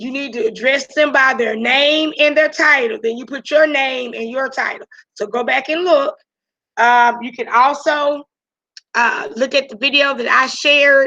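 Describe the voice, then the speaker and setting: Raising and projecting her voice, a woman speaks fairly slowly in a high, bright, sharp tone, with ordinary pitch variation and big swings in loudness. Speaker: high school teacher. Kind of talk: online class lecture. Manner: gets louder when excited.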